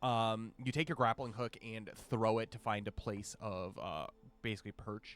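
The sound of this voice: Intonation stays fairly even throughout an unforced reading voice.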